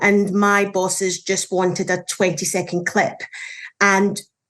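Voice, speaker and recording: The speaker is a woman. She talks with a Scottish accent. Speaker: journalist. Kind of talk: panel discussion.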